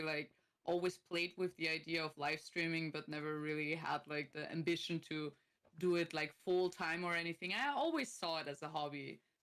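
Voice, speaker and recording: The speaker has an Austrian accent and fairly even intonation. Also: woman. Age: 30s. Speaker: streamer and content creator. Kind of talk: casual chat.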